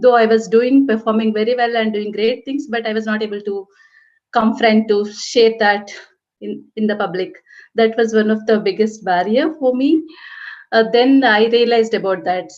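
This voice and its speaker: Fairly high in pitch, a woman speaks at a moderate pace with fairly even intonation. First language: not English. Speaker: cybersecurity professional, panelist. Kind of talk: panel discussion. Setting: webinar video call.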